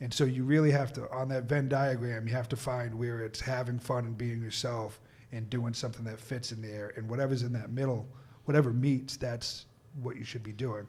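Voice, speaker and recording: Someone with an American accent talks at a fairly quick pace in a somewhat breathy voice. Room echo is audible. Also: man, medium pitch for a man. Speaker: stand-up comedian. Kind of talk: casual chat. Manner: animated.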